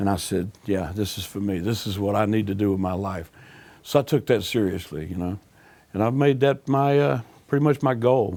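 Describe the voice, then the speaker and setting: A man with a Southern US accent, a dark, mellow tone and lively intonation. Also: moderate pace, very clean recording, silent background. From US South, Alabama. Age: 60s. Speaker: blues musician. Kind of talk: interview.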